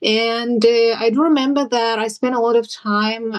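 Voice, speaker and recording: In a Siberian accent, a woman speaks at a fairly high pitch. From Yakutia, Siberia (Sakha village). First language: Sakha. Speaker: interviewee sharing personal cultural reflections. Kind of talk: personal interview testimony. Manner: hesitant, with many fillers.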